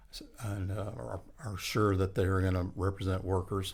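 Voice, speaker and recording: A man with an American accent speaks in a very deep, low voice that is somewhat breathy. His intonation stays fairly even. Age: 70s. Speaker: union leader and podcast host. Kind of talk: casual podcast interview. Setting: podcast recording. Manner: halting, many fillers and restarts.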